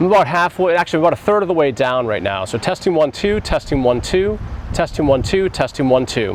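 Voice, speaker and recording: Noticeable background noise runs under a man's voice. He talks fairly quickly at a fairly high pitch, with very wide pitch swings. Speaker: photographer and gear reviewer. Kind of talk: product review. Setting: outdoors.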